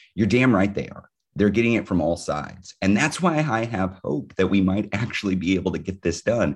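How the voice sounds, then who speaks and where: A man with a plain, everyday voice speaks at a fairly quick pace with fairly low pitch and ordinary pitch variation. Behind him the background is quiet. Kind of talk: rally speech. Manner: urgent, rousing call to action.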